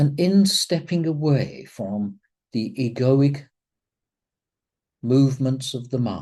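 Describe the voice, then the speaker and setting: The delivery is very slow, broken by long, frequent pauses. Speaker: spiritual teacher. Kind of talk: spiritual talk; guided meditation. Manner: calm.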